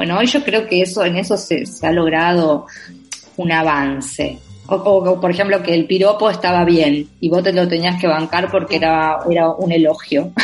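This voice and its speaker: Over music in the background, a woman talks at a moderate pace in a fairly low pitch, with ordinary pitch variation and very even loudness. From Argentina, Entre Ríos province (Villa Elisa). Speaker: novelist. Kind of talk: interview. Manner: halting, many repetitions and fillers.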